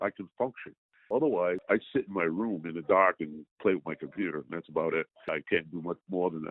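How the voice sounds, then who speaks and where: Talking at a fairly quick pace, a man uses a very deep, low pitch with ordinary pitch variation. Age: 70s. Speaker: customer giving a product testimonial. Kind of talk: phone testimony. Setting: phone call. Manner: animated.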